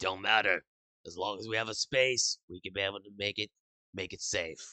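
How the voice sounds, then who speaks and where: A man puts on a raspy character voice at a fairly low pitch with fairly even intonation. His loudness swings widely, and the sound is dry and close with no echo. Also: moderate pace. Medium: actual play. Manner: blunt, plain-spoken.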